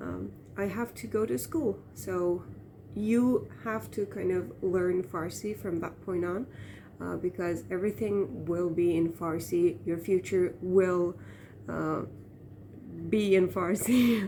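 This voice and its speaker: A very slow delivery in an Iranian accent, with lively intonation and a dark, mellow tone. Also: woman, fairly low pitch for a woman. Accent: Iranian Turkmen accent in English. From Turkmen-speaking region of Iran. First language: Turkmen. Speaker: vlogger. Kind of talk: casual monologue. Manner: hesitant, many fillers.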